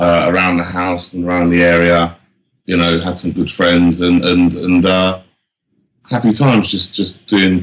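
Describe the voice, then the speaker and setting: With a southern English accent, a man talks at a moderate pace in a very deep, low pitch and a monotone, flat intonation. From England, Northampton. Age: 40s. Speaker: drum and bass MC and producer. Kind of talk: casual interview. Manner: halting, many fillers.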